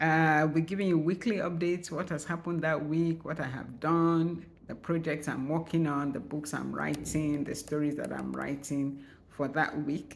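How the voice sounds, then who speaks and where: With vocal fry and a very deep, low pitch, a woman speaks at a moderate pace, with audible room echo around her. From Nigeria. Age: 60s. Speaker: writer and vlogger. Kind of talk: channel introduction vlog. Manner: casual, conversational.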